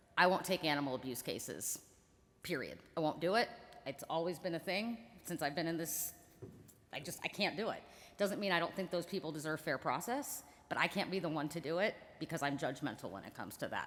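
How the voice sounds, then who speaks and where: The speech runs at a fairly quick pace. Long, frequent pauses break it up. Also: woman. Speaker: attorney on a panel. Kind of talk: panel discussion. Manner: loud.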